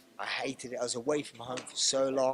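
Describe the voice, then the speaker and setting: Someone talks at a fairly quick pace with a London accent. There is noticeable background noise. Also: man. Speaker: mixed martial arts fighter. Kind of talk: media interview. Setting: fight media day. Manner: halting, many restarts.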